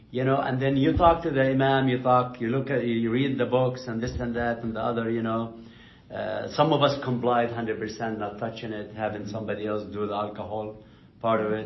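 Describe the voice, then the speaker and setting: With noticeable background noise, a man talks at a fairly quick pace. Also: medium pitch for a man, fairly even intonation. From Palestine (Jerusalem). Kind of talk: oral history interview answer. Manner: conversational, informal.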